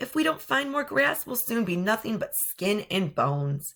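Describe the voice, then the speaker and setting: This is a put-on character voice, raspy and fairly high in pitch. The pitch swings very widely. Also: female-sounding voice, moderate pace. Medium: read story. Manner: nervous, stuttering.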